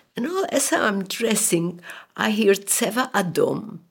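A woman speaks at a very slow pace. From Poland, later Siberia and Israel. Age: 80s+. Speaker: Holocaust survivor. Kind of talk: testimony. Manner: halting.

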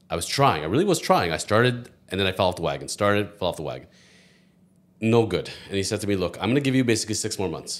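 A man's fairly low voice, delivered at a very fast pace with lively intonation. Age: 40s. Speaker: lawyer. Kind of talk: casual chat.

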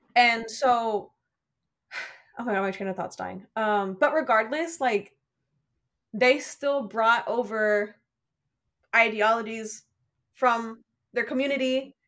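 A woman's fairly high voice at a very slow pace, with long, frequent pauses and ordinary pitch variation, in a very clean recording with a silent background. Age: 20s. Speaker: student and cousin of host. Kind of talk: casual chat with some reading aloud. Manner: halting, rambling.

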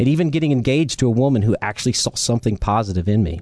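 Speaking at a very fast pace with an American accent, a man has a dark, mellow tone. His pitch variation is ordinary. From US South, Charleston, South Carolina. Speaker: recovering alcoholic sharing testimony, financial controller. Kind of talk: testimony read from prepared text; casual interview.

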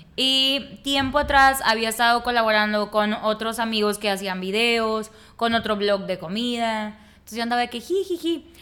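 A plain, everyday voice from a woman, pitched fairly high, moderate in pace, with ordinary pitch variation. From Nuevo Laredo, northern Mexico border. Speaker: communicator and food content creator. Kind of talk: casual interview.

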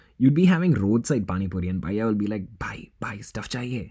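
At a fairly quick pace, a man speaks with lively intonation and a dark, mellow tone. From Chennai, India. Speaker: podcast host. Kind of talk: scripted comedic monologue, read from a written script. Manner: casual, humorous, sarcastic.

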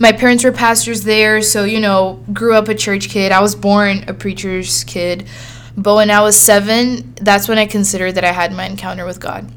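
A woman with a Brazilian accent speaks at a medium pitch and a moderate pace, with ordinary pitch variation. Noticeable background noise runs underneath. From Sao Paulo, Brazil. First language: Portuguese. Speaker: podcast host. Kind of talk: solo monologue, casual storytelling. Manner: animated, friendly.

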